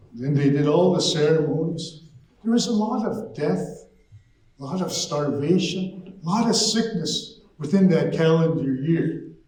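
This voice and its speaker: Amid audible room echo and noticeable background noise, a man speaks at a high pitch and fairly slow pace with ordinary pitch variation. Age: 60s. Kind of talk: storytelling to an audience.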